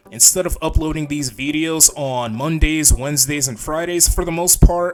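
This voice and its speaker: A man talks with a fairly high pitch. Noticeable background noise sits behind him. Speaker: YouTuber drawing and commentating. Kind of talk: casual voiceover commentary. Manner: low energy; hesitant, many fillers.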